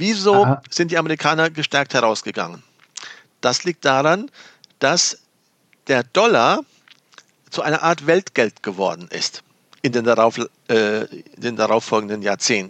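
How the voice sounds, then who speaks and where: A man at a fairly slow pace, with very wide pitch swings and long, frequent pauses. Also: medium pitch for a man. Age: 50s. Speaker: economist and former entrepreneur. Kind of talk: casual chat. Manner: halting.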